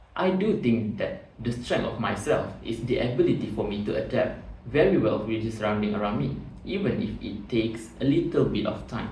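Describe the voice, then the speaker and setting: Through noticeable background noise and audible room echo, a man with a Malaysian accent speaks at a medium pitch and a moderate pace, his pitch swinging very widely. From Malaysia, Batu Pahat (Johor). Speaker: job interview candidate. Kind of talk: mock job interview. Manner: formal.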